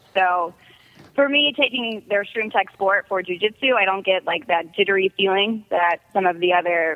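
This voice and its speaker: Speaking at a moderate pace with ordinary pitch variation, a woman uses an unremarkable speaking voice. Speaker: MMA fighter and former beauty queen. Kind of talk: casual chat. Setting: phone call.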